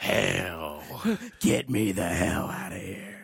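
A put-on character voice from a man, raspy and very deep, very slow, with ordinary pitch variation.

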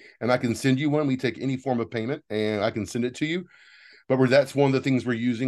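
Against a quiet background, a man speaks at a very fast pace. His voice is medium in pitch with ordinary pitch variation. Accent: American. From Texas. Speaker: theatre producer. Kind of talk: interview, casual chat. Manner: animated.

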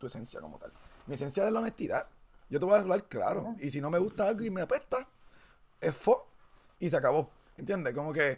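A man with a Puerto Rican accent, fairly quick pace and very wide pitch swings. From Puerto Rico. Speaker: podcast host. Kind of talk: casual chat.

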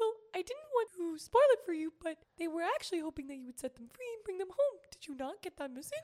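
A put-on character voice rattles along at a very fast pace. Its pitch is extremely high and swings very widely. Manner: playful, cute.

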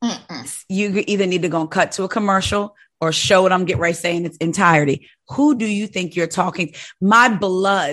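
A woman speaks at medium pitch with a bright, sharp, animated tone. Her pitch variation is ordinary, and the background is quiet. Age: 40s. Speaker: podcast host. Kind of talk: casual chat.

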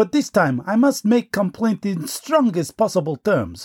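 A man with a Russian accent and a high pitch, very wide pitch swings, dry, close sound with no echo. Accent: put-on Russian. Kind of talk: comic character sketch, parody foreign correspondent report.

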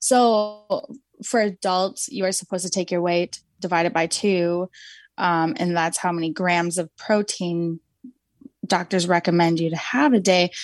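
In a plain, everyday voice, a woman speaks at a fairly slow pace and a fairly low pitch with ordinary pitch variation, the sound dry and close with no echo over a quiet background. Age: 20s. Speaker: mother and nutrition advocate, trauma survivor. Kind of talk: interview conversation.

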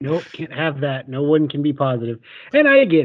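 This man talks at a fairly quick pace in an ordinary speaking voice. His pitch sits fairly high. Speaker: podcaster. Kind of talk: casual chat.

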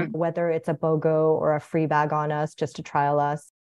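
A woman's normal speaking voice, fairly low in pitch, at a moderate pace over a quiet background. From born in Korea, raised partly in US and abroad. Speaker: brand designer and snack company founder. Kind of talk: casual interview.

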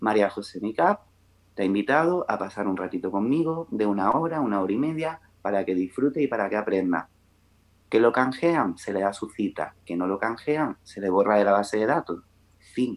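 With an ordinary speaking voice, a man talks at a moderate pace with a fairly low pitch and lively intonation. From Melilla, Spain. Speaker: makeup artist and beauty consultant. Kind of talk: podcast interview.

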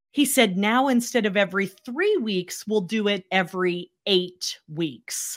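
Speaking with a plain, everyday voice at a fairly slow pace, the voice shows ordinary pitch variation on a very clean recording with a silent background. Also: woman, medium pitch for a woman. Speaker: cancer survivor and speaker. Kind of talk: interview.

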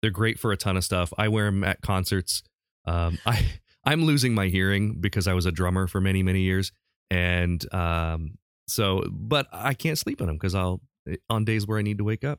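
Recorded very cleanly against a silent background, a man with a very deep, low pitch speaks at a moderate pace with very even loudness and ordinary pitch variation. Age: 40s. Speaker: podcast host. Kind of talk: casual chat.

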